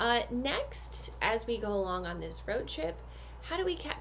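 Light background noise beneath a woman speaking. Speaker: activity box host. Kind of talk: product unboxing tutorial. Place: home room. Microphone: phone near.

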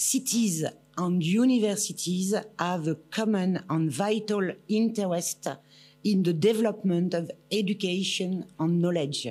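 A woman's dark, mellow tone at a fairly slow pace, with ordinary pitch variation. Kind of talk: formal speech. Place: hall. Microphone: podium.

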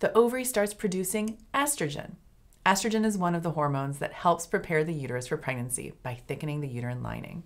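Talking at a very fast pace against a quiet background, a woman with a fairly low pitch makes very wide pitch swings. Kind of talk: educational explainer. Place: office.

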